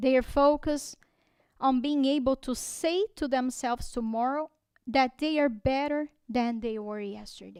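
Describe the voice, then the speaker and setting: A woman with a Portuguese accent speaks at a fairly slow pace in a high voice with ordinary pitch variation. The recording is very clean with a silent background and a dry, close sound with no echo. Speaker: spiritist lecturer. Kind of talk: religious talk. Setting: spiritist center. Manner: halting.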